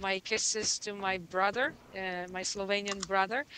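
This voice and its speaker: A woman's medium-pitched voice in a French-Canadian accent, with fairly even intonation. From Quebec, Canada. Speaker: musician. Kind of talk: casual interview.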